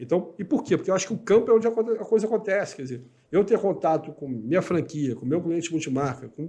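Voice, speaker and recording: A man's very fast speech with lively intonation. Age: 50s. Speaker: business executive. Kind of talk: interview.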